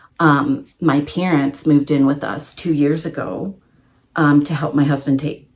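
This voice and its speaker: Fairly slow, monotone speech from a woman with a very deep, low voice and flat intonation. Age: 40s. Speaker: crafting vlogger. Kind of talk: casual vlog monologue. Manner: loud.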